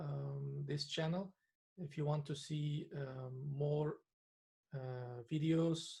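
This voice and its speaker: The speaker has a non-native accent. The pace is very slow. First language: not English. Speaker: trading analyst. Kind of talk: tutorial. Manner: hesitant, many filler sounds.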